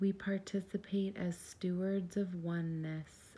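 A woman speaks very slowly in a calm, somewhat breathy voice of medium pitch. Her tone is dark and mellow, with fairly even intonation. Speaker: meditation guide. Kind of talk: guided meditation. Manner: calm, slow.

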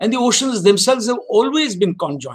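A man's moderate-paced speech comes over a quiet background. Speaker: former diplomat lecturer. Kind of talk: lecture. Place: office. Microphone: webcam.

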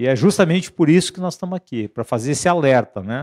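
A man's lively, fairly quick speech against a quiet background. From Brazil. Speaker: union leader. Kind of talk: union rally address. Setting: live stream from union headquarters. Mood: earnest, mobilizing. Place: meeting room. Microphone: handheld.

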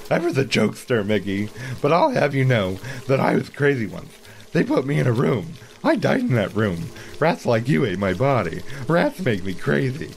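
Clear background noise sits behind a man of medium pitch whose voice makes very wide pitch swings. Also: moderate pace. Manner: mild and naive, then obsessively repetitive.

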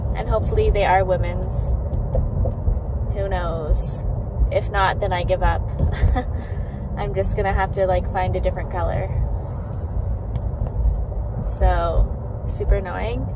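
Against loud background noise, a woman talks at a fairly slow pace with long, frequent pauses. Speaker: parent vlogger. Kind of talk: casual vlog chat. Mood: relaxed, chatty. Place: car. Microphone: phone near.

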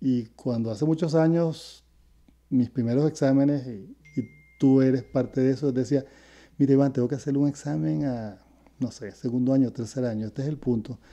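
A man with a Venezuelan accent speaks at a moderate pace with ordinary pitch variation. His tone is dark and mellow, and the background is quiet. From Venezuela (Caracas). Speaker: retired educator, host's father; interview guest, teacher. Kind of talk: casual interview; interview answer. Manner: halting, repeats words. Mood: calm, reflective. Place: home room. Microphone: earbuds.

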